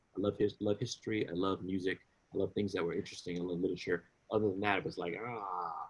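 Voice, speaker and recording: Talking at a very fast pace, a man with an American accent uses a fairly low-pitched voice. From US East Coast, Washington DC. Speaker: musician. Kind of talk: interview. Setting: podcast. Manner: animated, halting.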